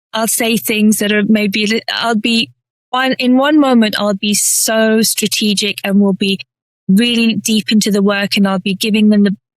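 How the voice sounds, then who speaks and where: A woman with a fairly high pitch speaks at a moderate pace, her intonation fairly even, in a dry, close recording with no echo. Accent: British. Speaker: inclusion strategist. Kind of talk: interview.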